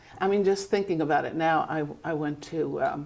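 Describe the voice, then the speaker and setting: A woman's very deep, low voice at a moderate pace, with ordinary pitch variation and music in the background. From Germany. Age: 80s+. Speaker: artist. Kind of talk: casual chat.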